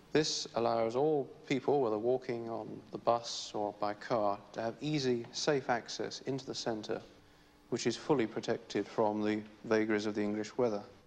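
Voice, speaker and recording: The speaker is a man with fairly even intonation. He keeps to a moderate pace. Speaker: town planner. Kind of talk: vintage documentary narration, technical planner's explanation. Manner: formal, measured, matter-of-fact. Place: office. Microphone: old recording.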